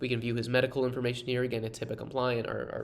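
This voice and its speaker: A man at a very fast pace, with audible room echo. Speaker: software co-founder giving product demo. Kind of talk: software demo tutorial.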